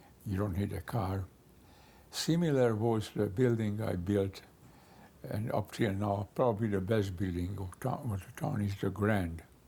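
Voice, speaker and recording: A man's fairly low, dark and mellow voice, somewhat breathy, with ordinary pitch variation and a fairly slow pace. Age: 80s+. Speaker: real estate developer. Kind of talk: interview monologue. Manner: halting, many fillers.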